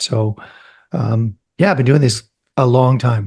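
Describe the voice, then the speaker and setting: A man speaks with lively intonation and a somewhat breathy voice. The sound is dry and close, with no echo. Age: 60s. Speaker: real estate investor. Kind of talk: podcast interview.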